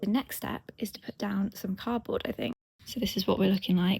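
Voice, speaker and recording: A quiet woman's voice with vocal fry, at a very fast pace. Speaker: lifestyle vlogger. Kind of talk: casual vlog talk. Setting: outdoors in garden. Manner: speaking quietly.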